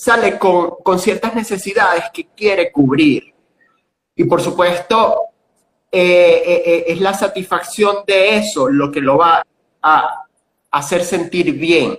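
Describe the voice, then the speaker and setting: A man speaks at a very slow pace. His high-pitched voice has ordinary pitch variation. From Venezuela, Cojedes state. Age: 40s. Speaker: tourism and gastronomy educator. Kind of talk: interview.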